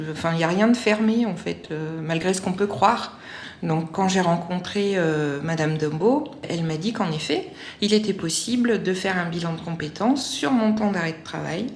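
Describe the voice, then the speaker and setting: Amid noticeable background noise and audible room echo, a woman with a medium pitch and ordinary pitch variation speaks at a moderate pace. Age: 40s. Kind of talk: testimony. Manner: halting, many hesitations.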